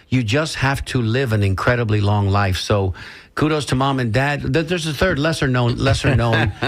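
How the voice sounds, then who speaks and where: A man talks at a moderate pace in a somewhat breathy voice of medium pitch with ordinary pitch variation. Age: 60s. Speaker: radio host. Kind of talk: casual chat.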